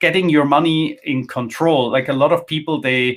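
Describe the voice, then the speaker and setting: With an ordinary speaking voice, a man talks at a moderate pace in a fairly high pitch with ordinary pitch variation. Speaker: finance content creator, former wealth manager. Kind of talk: interview. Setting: live online session.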